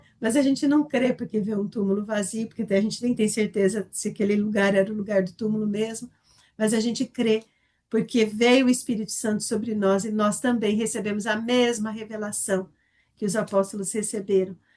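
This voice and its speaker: A woman's fairly high, dark, mellow voice, somewhat breathy and flat in a monotone, at a moderate pace. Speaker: Bible study teacher. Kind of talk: Bible study lesson.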